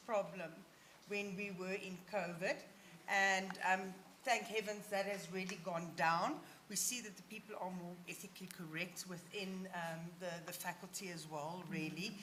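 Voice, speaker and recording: A woman talks at a medium pitch and a fairly slow pace. The room echoes audibly, and there is noticeable background noise. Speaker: session chair. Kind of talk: conference Q&A moderation.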